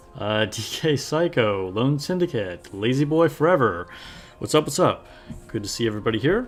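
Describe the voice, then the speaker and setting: Over music in the background, a man speaks at a moderate pace and medium pitch. His pitch swings very widely. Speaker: gaming streamer. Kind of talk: casual live stream chat. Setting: live stream.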